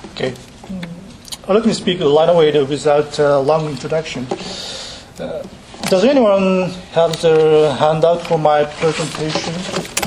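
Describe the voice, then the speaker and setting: A man talks very slowly at a fairly high pitch, with ordinary pitch variation. Noticeable background noise sits behind him. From Japan. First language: Japanese. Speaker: university professor giving lecture. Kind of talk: academic lecture. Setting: lecture hall with audience. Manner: halting, many fillers, self-deprecating.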